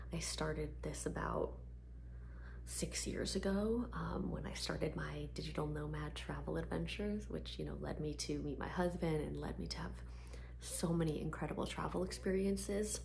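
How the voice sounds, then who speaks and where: A soft-spoken woman with a very deep, low pitch talks at a moderate pace with fairly even intonation over noticeable background noise. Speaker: ASMR artist; PR agency owner. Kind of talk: ASMR Q&A talk to camera.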